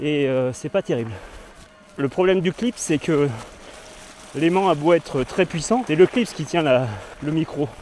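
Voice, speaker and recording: Through noticeable background noise, a man with a fairly high pitch speaks at a fairly slow pace, using lively intonation and long, frequent pauses. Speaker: cycling vlogger. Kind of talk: vlog while mountain biking. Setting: outdoors on an e-mountain bike.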